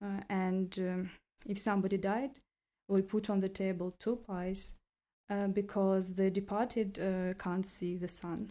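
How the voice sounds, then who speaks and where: The voice has a dark, mellow tone and a North Ossetian accent. It moves at a fairly slow pace in a monotone, flat intonation. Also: woman, medium pitch for a woman. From Vladikavkaz, North Ossetia, Russia. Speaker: university student. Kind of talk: interview.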